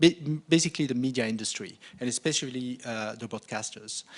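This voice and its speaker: A man's voice with a slight French accent and ordinary pitch variation, against a quiet background. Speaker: marketing director presenting at a conference. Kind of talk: conference presentation. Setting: conference stage with audience. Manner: hesitant, many fillers.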